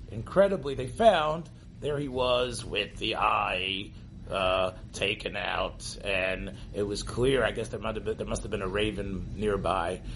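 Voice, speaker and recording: A man performs a put-on character voice. Clear background noise runs underneath. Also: fairly slow pace. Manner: creepy, macabre.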